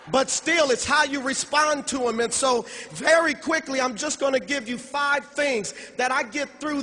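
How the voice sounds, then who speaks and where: A man's raised, projected voice, extremely high in pitch with ordinary variation, at a fairly slow pace over noticeable background noise. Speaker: motivational speaker at sales convention. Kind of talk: motivational speech.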